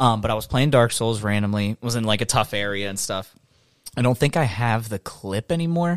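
In a very clean, dry and close recording with no echo and a silent background, a man with a normal speaking voice, medium pitch and ordinary pitch variation talks at a fairly quick pace. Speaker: streamer. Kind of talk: casual chat. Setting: studio.

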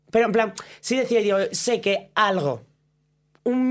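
A woman talks with ordinary pitch variation in a very clean recording where the background is silent. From Asturias, Spain. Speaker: drag performer. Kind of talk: casual chat.

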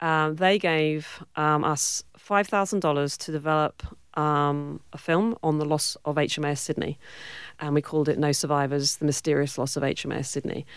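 In a very clean recording with a silent background, a woman with a British accent speaks at a moderate pace in a very deep, low pitch with fairly even intonation. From Cornwall, southwest England. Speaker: film producer and director. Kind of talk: interview. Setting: studio.

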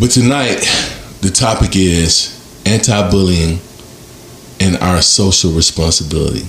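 An animated man with a very deep, low pitch and ordinary pitch variation, amid noticeable background noise. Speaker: podcast host. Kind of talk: panel discussion.

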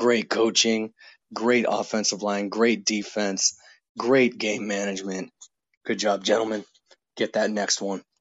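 Speaking fairly slowly with long, frequent pauses, a man with an American accent keeps a fairly low pitch and monotone, flat intonation. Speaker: former player. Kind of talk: voicemail message. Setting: phone call. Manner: loud.

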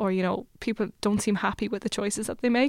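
In a very clean recording with a silent background, a woman speaks in an Irish accent. Her pitch is medium and her intonation fairly even. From Ireland, Limerick. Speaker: PhD researcher. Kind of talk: interview.

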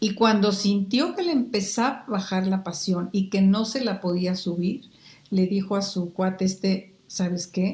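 A woman with a Mexican accent speaks at a fairly slow pace in a medium pitch, her voice somewhat breathy with ordinary pitch variation. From Guatemala, Quetzaltenango. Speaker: market researcher. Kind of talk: interview. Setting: video call.

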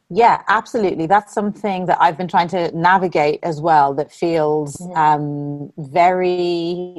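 With an Irish accent, a woman talks at a fairly slow pace with hardly any pauses, her fairly low voice holding a fairly even intonation. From Ireland. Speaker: interviewer. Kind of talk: interview conversation.

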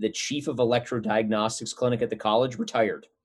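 With an American accent, a man talks in a medium pitch with ordinary pitch variation. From US Upper Midwest (North Dakota). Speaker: optometrist. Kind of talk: interview. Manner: halting.

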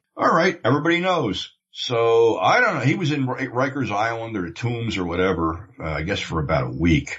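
Medium-pitched man in an American accent with vocal fry, very wide pitch swings, a moderate pace, and hardly any pauses. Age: 60s. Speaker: former video industry insider. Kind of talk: casual chat.

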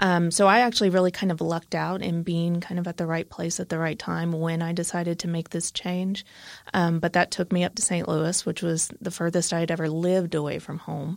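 A woman with an American accent speaks at a fairly quick pace in a fairly low, flat monotone. The recording is very clean, with a silent background. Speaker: architect. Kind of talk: interview.

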